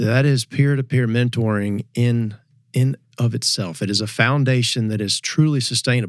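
With fairly even intonation, a plain, everyday voice moves at a moderate pace. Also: man, medium pitch for a man. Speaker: Ducks Unlimited staffer. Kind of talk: casual panel discussion.

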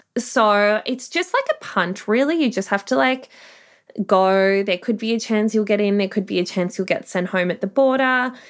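On a very clean recording with a silent background, an upbeat woman with an Australian accent speaks at a moderate pace in a fairly high voice, keeping her loudness very even with ordinary pitch variation. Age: 30s. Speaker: sex worker. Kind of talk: interview.

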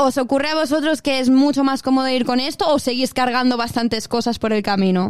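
A woman with a strong Spanish accent talks at a fairly quick pace with hardly any pauses, her high voice showing ordinary pitch variation and very even loudness. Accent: strong Spanish (Spain). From Mallorca, Spain. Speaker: radio host. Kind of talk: casual interview.

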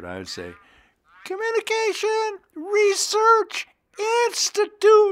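A man's put-on character voice in falsetto at an extremely high pitch, very slow in pace, with long, frequent pauses.

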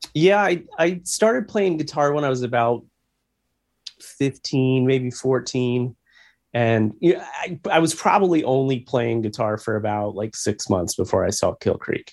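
A man's medium-pitched voice with a Midwestern American accent and lively intonation. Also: fairly slow pace. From US Midwest, Missouri. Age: 40s. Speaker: rock musician. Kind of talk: interview.

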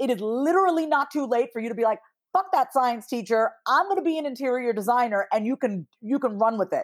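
Speaking very fast in an animated tone, a woman has a high pitch. She talks with an American accent. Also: lively intonation. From US Northeast, Long Island, New York. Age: 30s. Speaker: therapist and business strategist. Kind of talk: casual interview.

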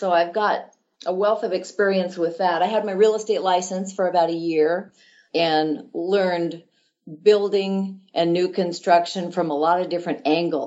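An unremarkable speaking voice, its intonation fairly even, its pace moderate. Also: woman. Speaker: title company manager for land development. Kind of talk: interview.

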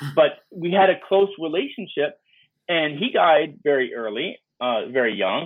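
A man with a plain, everyday voice speaks with an American accent, his fairly high pitch moving in lively intonation. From New York (Bronx). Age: 50s. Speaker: media entrepreneur. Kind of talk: interview.

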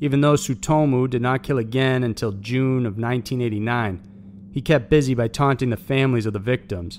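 At a fairly quick pace, a man speaks in a plain, everyday voice at a medium pitch with ordinary pitch variation. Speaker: video narrator. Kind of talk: true-crime narration, scripted. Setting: online video. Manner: grim, steady, matter-of-fact; measured, formal.

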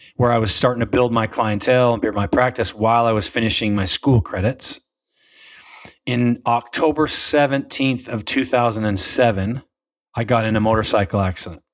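On a very clean recording with a silent background, a man with an American accent speaks in an unremarkable speaking voice at a moderate pace with fairly even intonation. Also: medium pitch for a man. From Utah, US. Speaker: chiropractor and wellness tech founder. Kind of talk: casual interview.

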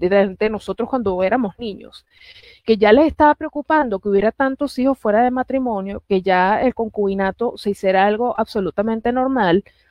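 At a moderate pace, this is an unremarkable speaking voice with ordinary pitch variation. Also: woman. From Puerto Rico. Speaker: political analyst. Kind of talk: political talk show interview.

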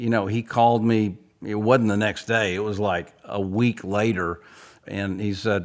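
An unremarkable speaking voice from a man, fairly low in pitch, at a moderate pace in a very clean recording with a silent background. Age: 60s. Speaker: songwriter. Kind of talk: casual interview conversation. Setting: studio.

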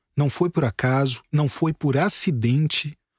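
Fairly high-pitched for a man, his somewhat breathy voice moves with lively intonation at a very slow pace, in a dry, close sound with no echo on a very clean recording with a silent background. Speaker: podcast host and journalist. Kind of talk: scripted narration.

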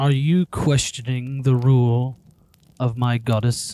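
A put-on character voice is used here. Delivery runs at a fairly slow pace. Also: man, medium pitch for a man. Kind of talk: grandiose fantasy speech. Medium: actual play. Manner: formal, imperious.

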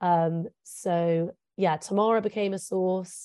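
In an English accent, a woman with a dark, mellow tone speaks with fairly even intonation in a dry, close sound with no echo. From England. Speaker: journalist. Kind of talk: interview.

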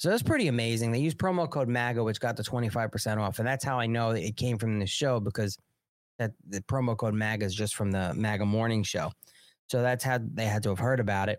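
Very fast and medium-pitched, a man with a New York accent talks with ordinary pitch variation in a very clean recording with a silent background. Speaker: political livestream host. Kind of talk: casual political commentary. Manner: animated.

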